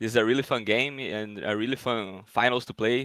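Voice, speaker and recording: A man with a Portuguese accent, fairly low pitch, a fairly slow pace and monotone, flat intonation, in a very clean recording with a silent background. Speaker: esports player. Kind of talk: post-match interview. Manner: halting.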